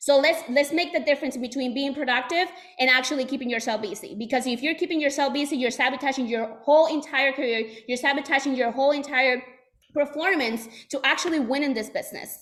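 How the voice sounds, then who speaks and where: A woman's animated, high-pitched voice with a Puerto Rican accent, ordinary pitch variation and a very fast pace. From Puerto Rico. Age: 20s. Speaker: sales trainer. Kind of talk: motivational talk.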